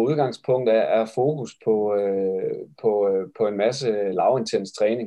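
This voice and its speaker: A man's voice, dark and mellow in tone. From West Jutland, Denmark (Esbjerg). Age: 40s. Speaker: physiotherapist and triathlon coach. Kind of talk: interview about his thesis. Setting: video call. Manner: halting with many fillers.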